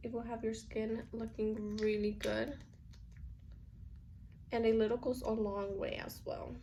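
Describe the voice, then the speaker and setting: A woman speaks slowly-ish, at a fairly slow pace, with a fairly high pitch and monotone, flat intonation. Her tone is dark and mellow, and somewhat breathy. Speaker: beauty YouTuber. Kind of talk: casual makeup tutorial talk to camera.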